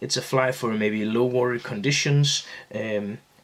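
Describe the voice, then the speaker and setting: A man with a non-native accent and a medium pitch. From Denmark, Aarhus. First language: Danish. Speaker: fly-tying instructor. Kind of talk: tutorial. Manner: halting, many fillers and repeats.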